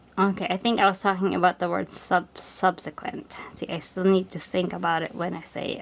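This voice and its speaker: A woman speaks in a Filipino accent. Noticeable background noise runs behind her. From Philippines. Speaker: crafts vlogger. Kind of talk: casual chat.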